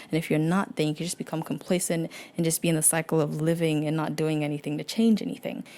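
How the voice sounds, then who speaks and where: A woman's very deep, low voice with a dark, mellow tone, very fast pace and ordinary pitch variation. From Nigeria, schooled abroad. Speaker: blogger sharing personal story. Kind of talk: personal narration. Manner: casual, with fillers.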